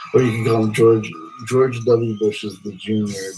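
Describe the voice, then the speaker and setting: Fairly even intonation with music playing in the background. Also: man. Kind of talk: casual chat. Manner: halting.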